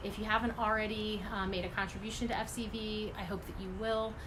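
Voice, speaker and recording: At a fairly quick pace, a woman with a fairly high pitch speaks amid noticeable background noise and audible room echo. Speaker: environmental advocacy group director. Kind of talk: livestream update and appeal. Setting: live video stream from home. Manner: fast.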